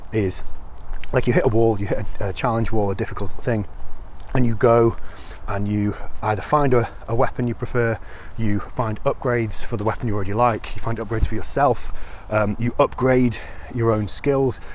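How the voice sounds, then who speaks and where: A man talks at a moderate pace with a medium pitch. Noticeable background noise can be heard. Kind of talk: casual talk to camera. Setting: outdoors. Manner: hesitant, rambling with many fillers.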